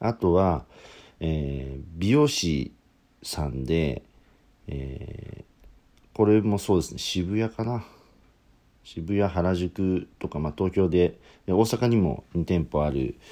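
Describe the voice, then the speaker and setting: At a very slow pace, a man with a very deep, low pitch and a dark, mellow tone talks with lively intonation. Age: 30s. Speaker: podcaster. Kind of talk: solo monologue. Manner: halting.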